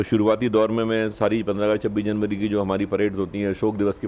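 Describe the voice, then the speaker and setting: The speaker is a man. His pitch is fairly low. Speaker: police officer. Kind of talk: interview. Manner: hesitant fillers.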